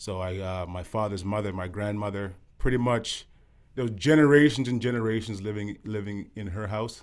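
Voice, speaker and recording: This man has a normal speaking voice, fairly low in pitch. He talks at a moderate pace with ordinary pitch variation. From Canada, Ottawa (moved from Jamaica at nine). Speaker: former professional basketball player. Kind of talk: podcast interview.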